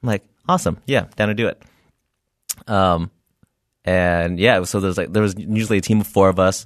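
A man talks at a fairly quick pace in a fairly low pitch, with a West Coast accent. His intonation is fairly even, and he takes long, frequent pauses. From California, Bay Area (Milpitas). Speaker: comedian and former ER tech. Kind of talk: casual interview chat.

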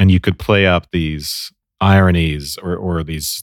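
Here a man talks with fairly even intonation. The recording is very clean with a silent background and a dry, close sound with no echo. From Ireland. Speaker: podcast co-host, film discussion. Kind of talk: casual scholarly discussion.

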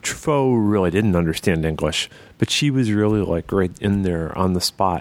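A man's very deep, low voice carries lively intonation. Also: moderate pace, very even loudness.

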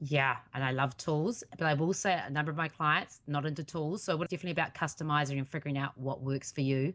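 A woman's very deep, low voice with a New Zealand accent, very fast and fairly even in intonation, over a quiet background. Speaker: accountability coach and podcaster. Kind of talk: interview.

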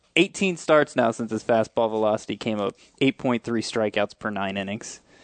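In a dry, close recording with no echo and a quiet background, a man speaks at a moderate pace with medium pitch. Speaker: fantasy baseball analyst. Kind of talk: casual chat. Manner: hesitant, repeats words.

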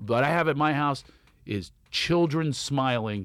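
On a very clean recording with a silent background, a man with a Philadelphia accent speaks at medium pitch with lively intonation. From Philadelphia, US. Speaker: comedian. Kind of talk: casual chat. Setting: studio.

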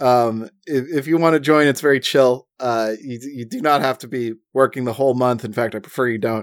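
A man with an ordinary speaking voice talks at a fairly quick pace, at a medium pitch, with fairly even intonation. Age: 30s. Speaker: podcast co-host. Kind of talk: casual chat.

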